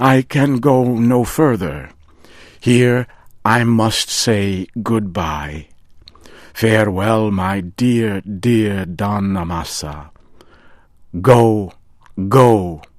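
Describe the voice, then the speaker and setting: Putting on a character voice, a man speaks very slowly at a fairly low pitch, with long, frequent pauses. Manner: excited, emotional.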